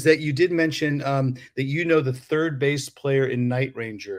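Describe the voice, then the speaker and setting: Fairly even intonation and a moderate pace from a man at a medium pitch, a normal speaking voice. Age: 50s. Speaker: podcast host and musician. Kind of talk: casual chat.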